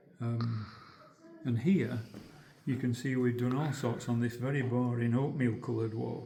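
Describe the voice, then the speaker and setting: A man with a Yorkshire accent speaks at a moderate pace with long, frequent pauses, amid noticeable background noise and audible room echo. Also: medium pitch for a man, fairly even intonation. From northern England, Yorkshire (Holmfirth). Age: 80s+. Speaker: retired textile designer, museum volunteer. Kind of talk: guided demonstration. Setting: museum weaving room. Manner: halting.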